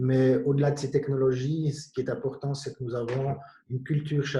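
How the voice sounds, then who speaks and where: Spoken with a slight Jura Swiss accent, the voice keeps a monotone, flat intonation. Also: man. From Switzerland, Bienne (canton of Bern). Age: 50s. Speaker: company director. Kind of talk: panel discussion.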